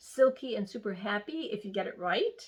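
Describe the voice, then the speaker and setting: A woman's ordinary speaking voice at a medium pitch, with ordinary pitch variation and a fairly slow pace. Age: 60s. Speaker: skincare instructor. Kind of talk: lecture.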